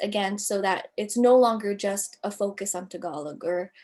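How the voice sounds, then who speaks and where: With an American accent and ordinary pitch variation, a woman has an unremarkable speaking voice. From United States. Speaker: writer. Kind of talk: interview.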